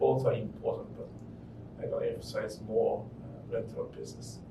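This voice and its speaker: A man talks at a moderate pace, and audible room echo colors his voice. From Japan. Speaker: real estate investor. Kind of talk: interview. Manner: halting.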